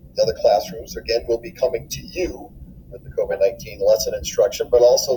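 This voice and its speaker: Noticeable background noise accompanies a man talking at a moderate pace. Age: 60s. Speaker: middle school teacher. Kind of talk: welcome video address to students.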